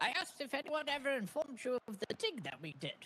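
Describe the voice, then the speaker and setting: A put-on character voice, pitched high. The delivery comes at a very fast pace. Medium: game stream.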